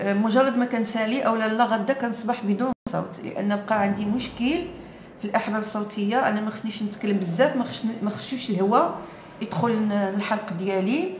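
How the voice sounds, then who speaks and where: A woman with a Moroccan accent speaks at a moderate pace in a fairly high voice with ordinary pitch variation. Noticeable background noise and audible room echo fill the recording. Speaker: vlogger. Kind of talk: casual chat.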